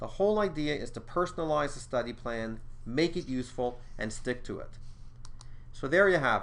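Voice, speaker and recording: A man speaks at a moderate pace in an unremarkable speaking voice, his pitch fairly high. His intonation is lively, and his loudness swings widely. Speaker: exam prep school co-director and instructor. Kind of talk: tutorial.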